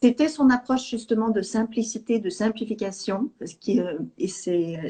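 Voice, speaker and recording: Woman with a slight Swedish accent, medium pitch, somewhat breathy, with ordinary pitch variation at a fairly slow pace. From Sweden. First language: Swedish (speaking French). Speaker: EFT teacher. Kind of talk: interview. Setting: live video call.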